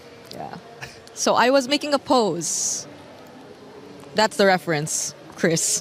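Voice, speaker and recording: Very slow woman's speech at a medium pitch, with very wide pitch swings, long and frequent pauses, and noticeable background noise. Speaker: esports broadcast talent. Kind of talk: casual interview segment. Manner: quiet.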